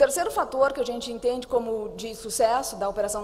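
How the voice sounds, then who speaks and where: Rather brisk talking against clearly audible background noise. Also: woman. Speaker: conference panelist on anti-corruption investigations. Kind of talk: conference presentation.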